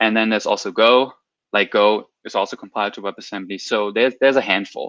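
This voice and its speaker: A man with a non-native accent, fairly low in pitch, very fast and monotone with flat intonation, dry and close with no echo over a quiet background. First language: not English. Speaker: software developer, guest speaker. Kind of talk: technical talk on livestream. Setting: livestream with chat. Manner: halting, many repeated words.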